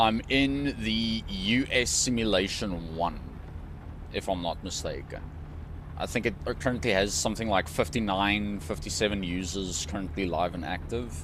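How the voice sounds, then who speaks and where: At a moderate pace, a man speaks with a fairly low pitch and ordinary pitch variation, with audible room echo in the room. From South Africa. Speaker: gaming streamer. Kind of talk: casual chat. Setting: live stream. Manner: relaxed, many fillers.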